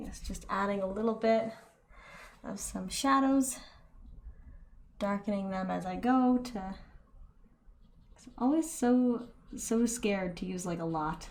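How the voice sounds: A soft-spoken woman at medium pitch, fairly slow in pace, with long, frequent pauses and ordinary pitch variation.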